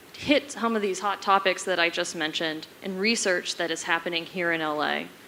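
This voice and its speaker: A woman talks at a medium pitch while noticeable background noise carries on. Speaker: forest service program manager. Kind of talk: conference panel talk. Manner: fast.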